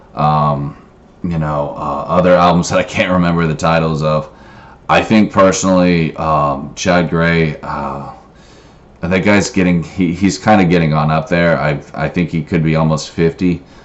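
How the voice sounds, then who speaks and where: Behind this man there is noticeable background noise. His voice is very deep and low, with fairly even intonation. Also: moderate pace. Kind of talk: casual talk to camera. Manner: hesitant, filler-heavy.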